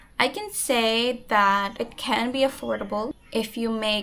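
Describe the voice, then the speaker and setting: Noticeable background noise accompanies a woman speaking with a Visayan accent. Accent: Bisaya. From Philippines, grew up in Manila and Pampanga, Waray family. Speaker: vlogger. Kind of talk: casual vlog talk.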